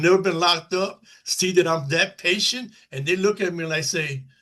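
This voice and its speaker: At a moderate pace, a man with a high pitch speaks in a bright, sharp tone. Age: 60s. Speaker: formerly incarcerated person, panel guest. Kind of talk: panel discussion. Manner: halting, many filler phrases.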